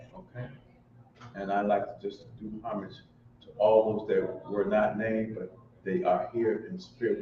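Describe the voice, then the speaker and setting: A man with a fairly low voice speaks at a moderate pace with lively intonation. Noticeable background noise is present. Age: 60s. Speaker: community elder leading a cultural gathering. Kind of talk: ceremonial remarks and libation at a community event.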